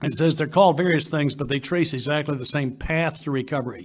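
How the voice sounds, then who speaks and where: Somewhat breathy, a man with a fairly high pitch and ordinary pitch variation speaks at a fairly quick pace. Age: 70s. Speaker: recovery workshop speaker. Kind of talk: workshop talk.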